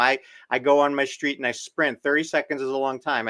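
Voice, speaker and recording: This is a plain, everyday voice from a man with fairly high pitch, talking at a moderate pace. The recording is very clean with a silent background, and the sound is dry and close with no echo. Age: 60s. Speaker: doctor. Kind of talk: interview.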